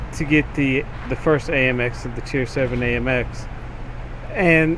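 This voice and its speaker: Noticeable background noise accompanies a man's voice. He keeps a medium pitch, a moderate pace and fairly even intonation. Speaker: gaming channel host. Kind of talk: video game review and commentary. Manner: casual, hesitant with fillers.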